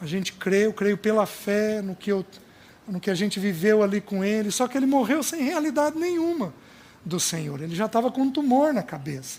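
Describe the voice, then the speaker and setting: Pitched high for a man, this man's voice swings very widely up and down. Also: moderate pace. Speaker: preacher. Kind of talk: sermon.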